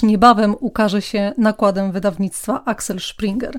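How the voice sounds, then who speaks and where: A woman is talking here. Her delivery is fairly slow. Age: 40s. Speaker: podcast host, personal development coach. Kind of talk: personal story monologue.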